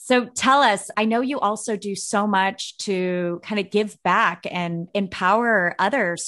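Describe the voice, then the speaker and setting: Against a quiet background, a woman uses a plain, everyday voice at a medium pitch with ordinary pitch variation. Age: 40s. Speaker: podcast host. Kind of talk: interview.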